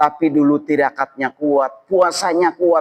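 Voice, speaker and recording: The speaker has a normal speaking voice and a fairly slow pace. The sound is dry and close, with no echo. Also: man. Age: 40s. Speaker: Islamic preacher. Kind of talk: religious lecture. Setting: mosque gathering. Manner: casual, conversational.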